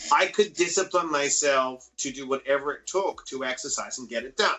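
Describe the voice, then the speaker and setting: A man with a fairly high pitch in an Australian accent. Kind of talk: casual interview. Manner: animated.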